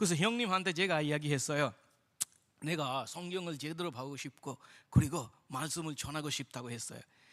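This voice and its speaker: A man with a fairly high pitch speaks at a fairly quick pace, using ordinary pitch variation. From India. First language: Indian language (speaking Korean). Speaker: missionary. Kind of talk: testimony. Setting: church.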